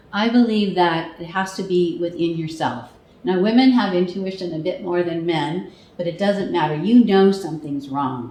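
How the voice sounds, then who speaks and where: Over noticeable background noise and audible room echo, a woman talks at a moderate pace in a fairly low pitch with ordinary pitch variation. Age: 60s. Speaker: international speaker and charity fundraiser. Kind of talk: interview. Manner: animated.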